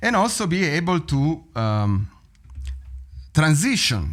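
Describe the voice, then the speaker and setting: A man with an Italian accent is heard on a very clean recording with a silent background. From Italy. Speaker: drum teacher. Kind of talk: tutorial.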